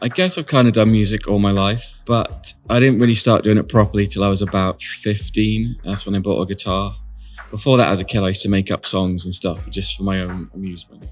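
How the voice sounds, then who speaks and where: Music plays in the background as a man with a fairly low voice talks at a fairly quick pace with ordinary pitch variation. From North Devon, England. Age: 40s. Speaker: singer-songwriter contestant. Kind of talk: contestant interview.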